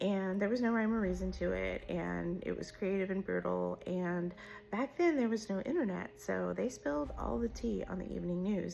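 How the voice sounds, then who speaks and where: Against noticeable background noise, a woman with an American accent speaks with hardly any pauses. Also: moderate pace. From Southern California. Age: 50s. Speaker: social media storyteller. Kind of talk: casual monologue to camera.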